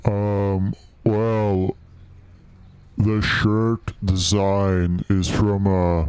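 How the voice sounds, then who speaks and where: A put-on character voice, very slow and monotone, with flat intonation and long, frequent pauses. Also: man, fairly low pitch for a man. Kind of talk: comic overacting. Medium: comedy sketch. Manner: hesitant, stammering, full of ums, pedantic.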